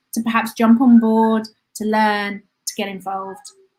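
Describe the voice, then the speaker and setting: A somewhat breathy voice with fairly even intonation, delivered at a moderate pace. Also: woman. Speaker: tourism lecturer. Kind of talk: live online talk. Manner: halting, many fillers.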